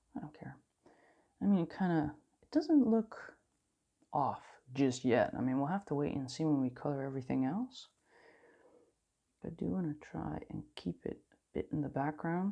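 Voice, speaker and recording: Long, frequent pauses break up this woman's speech in a non-native accent. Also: moderate pace, big swings in loudness. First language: not English. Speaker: coloring channel host. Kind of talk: casual chat while coloring. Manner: rambling, self-interrupting.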